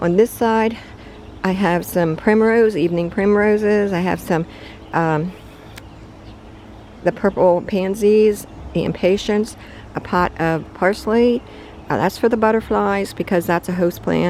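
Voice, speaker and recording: A woman's medium-pitched voice at a fairly slow pace, with fairly even intonation, long, frequent pauses and noticeable background noise. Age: 70s. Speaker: home gardener. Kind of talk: casual garden tour narration. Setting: outdoors in garden. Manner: halting, many fillers.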